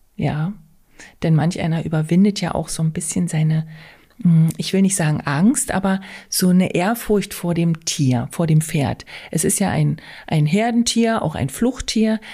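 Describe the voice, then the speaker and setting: Breathing somewhat audibly, a woman with a fairly low pitch and dark, mellow tone talks fairly slowly with lively intonation and long, frequent pauses. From Altmark, northern Saxony-Anhalt. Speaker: riding stable owner. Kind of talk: podcast interview.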